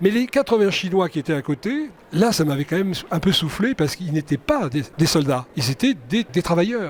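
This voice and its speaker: His pitch is high for a man, and it swings very widely. He speaks at a moderate pace. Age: 70s. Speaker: film director. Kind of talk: interview. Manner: hesitant, repeats words.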